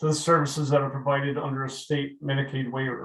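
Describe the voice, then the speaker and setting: This man's voice has a somewhat breathy quality. He speaks with an American accent. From New England. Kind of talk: webinar presentation. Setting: webinar. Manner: fast.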